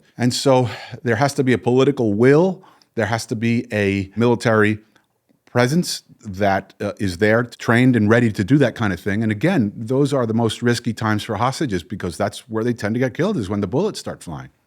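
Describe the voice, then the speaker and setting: Here is a man at medium pitch. The recording is very clean, with a silent background. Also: ordinary pitch variation. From northern New Jersey, US. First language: Spanish. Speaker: psychologist and hostage negotiator. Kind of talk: interview conversation. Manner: halting, many repetitions and fillers.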